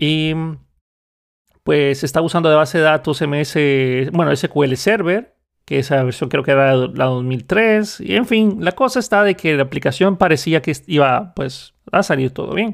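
A man with a normal speaking voice talks at a fairly slow pace, his pitch fairly high and his intonation lively. The recording is very clean, with a silent background. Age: 30s. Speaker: podcast host, software developer. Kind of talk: solo monologue.

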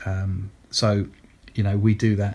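A man with a British accent talks at a fairly low pitch in a somewhat breathy voice. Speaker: digital marketing consultant and podcast host. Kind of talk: solo podcast monologue, informative business talk. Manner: conversational, fillers, upbeat.

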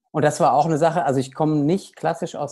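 Speaking with a dark, mellow tone, the man has a fairly high pitch. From Germany, Aschaffenburg area (Lower Franconia, Hesse border). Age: 30s. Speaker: paediatrician and medical director of a nutrition association. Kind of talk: interview. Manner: hesitant, many fillers.

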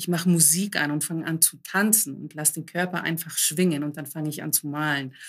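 With hardly any pauses, a woman speaks in a very deep, low voice and fairly even intonation. The recording is very clean, with a silent background. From Germany, Greek immigrant family. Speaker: coach and author. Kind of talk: casual interview chat.

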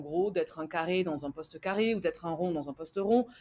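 A woman with an unremarkable speaking voice talks at a fairly quick pace, with lively intonation and a medium pitch. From France. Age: 30s. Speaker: entrepreneur. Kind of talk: interview.

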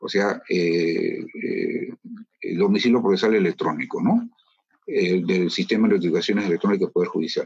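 This is a man speaking. His pace is fairly slow. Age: 60s. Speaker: judge. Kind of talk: interview.

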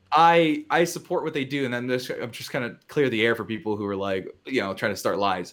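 A man speaks at medium pitch and a fairly quick pace, in an unremarkable speaking voice. His intonation is lively, and the recording is very clean with a silent background. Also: hardly any pauses. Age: 20s. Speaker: film critic. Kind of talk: casual chat. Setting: studio.

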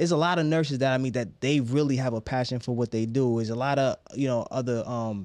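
In an ordinary speaking voice with an American accent, a medium-pitched man speaks at a fairly quick pace with ordinary pitch variation, the sound dry and close with no echo against a quiet background. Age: 30s. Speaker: podcast host. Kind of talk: casual chat.

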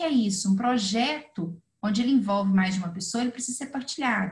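Lively intonation marks this woman's speech. She talks at a fairly quick pace. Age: 40s. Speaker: financial planner. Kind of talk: interview.

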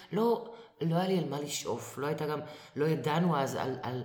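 A woman's very deep, low voice at a fairly quick pace, with lively intonation and audible room echo. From Israel, Acre. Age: 50s. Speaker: actress. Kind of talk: casual interview.

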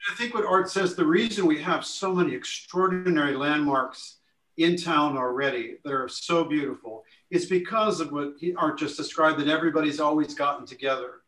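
An ordinary speaking voice comes from a man with an American accent. He talks at a fairly quick pace, his fairly high pitch showing ordinary variation. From Lake Forest, Illinois. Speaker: architect. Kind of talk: podcast interview.

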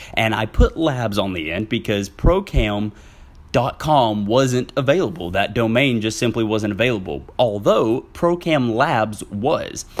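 A man with a Southern US accent speaks at a fairly slow pace. His medium-pitched voice sounds animated. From Southwest Arkansas. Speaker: podcast host. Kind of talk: casual solo podcast monologue.

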